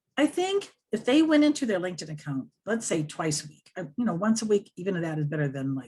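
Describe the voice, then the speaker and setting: A somewhat breathy voice with an American accent, very wide pitch swings and a fairly quick pace. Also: woman. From US Upper Midwest, Wisconsin. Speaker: social media tutor. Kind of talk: interview, tips and advice.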